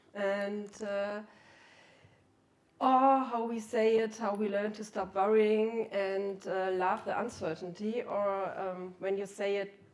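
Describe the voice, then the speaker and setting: Very slow speech from a woman with a German accent, medium pitch, monotone and flat intonation, and audible room echo. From Germany (Cologne). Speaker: keynote speaker, researcher. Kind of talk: conference talk.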